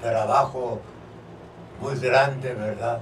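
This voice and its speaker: Amid noticeable background noise and audible room echo, a man speaks very slowly at a medium pitch with monotone, flat intonation. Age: 80s+. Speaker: civil engineer and former football player. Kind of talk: radio interview.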